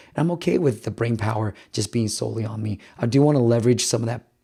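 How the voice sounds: At a fairly quick pace, a man with a medium pitch talks in a raspy, slightly husky voice with vocal fry, a dark, mellow tone and fairly even intonation.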